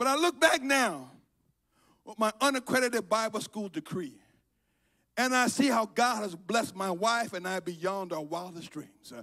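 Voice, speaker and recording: In a raised, projected voice with a bright, sharp tone, the speaker talks at a moderate pace with lively intonation and an animated tone against a quiet background. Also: man, high pitch for a man. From Liberia. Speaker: preacher. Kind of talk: sermon. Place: church. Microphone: handheld.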